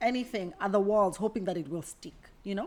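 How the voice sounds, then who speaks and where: A woman with an American accent, at a moderate pace with ordinary pitch variation. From Kenya. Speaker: career coach. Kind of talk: casual vlog monologue.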